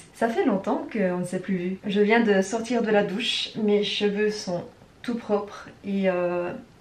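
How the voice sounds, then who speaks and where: A woman's medium-pitched voice at a very slow pace, ordinary pitch variation, and noticeable background noise. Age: 30s. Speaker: travel vlogger. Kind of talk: casual vlog talk to camera. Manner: casual, with frequent hesitations.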